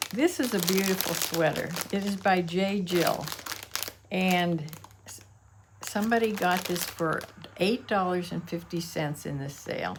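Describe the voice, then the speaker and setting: A woman speaks with long, frequent pauses and big swings in loudness, with noticeable background noise and audible room echo. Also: medium pitch for a woman, ordinary pitch variation, fairly slow pace. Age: 80s+. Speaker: online reseller. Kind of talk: casual vlog show-and-tell. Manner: halting, with frequent fillers.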